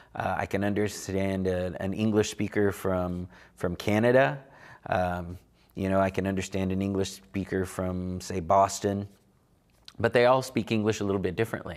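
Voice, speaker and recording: With an Oklahoma accent, a man speaks at a fairly low pitch and a moderate pace with fairly even intonation, on a very clean recording with a silent background. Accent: Oklahoma American English. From Oklahoma, Delaware County (Cherokee community). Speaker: Cherokee language teacher. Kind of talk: lecture. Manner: halting, many fillers.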